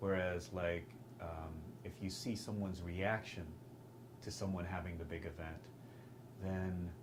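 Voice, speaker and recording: A man with an American accent and a very deep, low pitch, ordinary pitch variation, audible room echo and noticeable background noise. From Texas. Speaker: film director and actor. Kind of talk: interview. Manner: halting, with many fillers.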